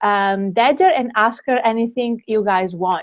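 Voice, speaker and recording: A woman talks fairly slowly with ordinary pitch variation in an ordinary speaking voice. The recording is very clean, with a silent background. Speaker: conference host. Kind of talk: live event hosting.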